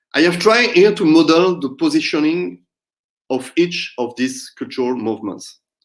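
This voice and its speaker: The speaker has a non-native accent and very wide pitch swings. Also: man, high pitch for a man, moderate pace. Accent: non-native English accent, self-noted. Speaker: academic researcher presenting at a conference. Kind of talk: conference presentation. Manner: hesitant, with frequent fillers.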